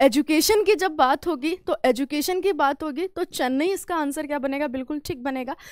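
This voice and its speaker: A woman with a high pitch speaks at a moderate pace with ordinary pitch variation, in a dry sound with no echo. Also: quiet background. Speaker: current affairs teacher; exam prep teacher. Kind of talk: live online class. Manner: halting, words get stuck; animated, conversational. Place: studio. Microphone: headset.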